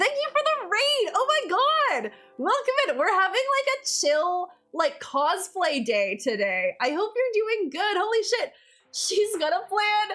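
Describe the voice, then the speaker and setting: A raised, projected voice moves at a very slow pace with very wide pitch swings over music in the background. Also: woman. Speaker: cosplayer and streamer. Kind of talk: live stream presentation. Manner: halting, many fillers.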